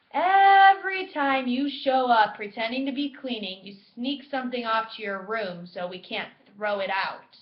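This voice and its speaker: Pitched high, a woman's put-on character voice moves along at a moderate pace. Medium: read story. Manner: impatient, cold.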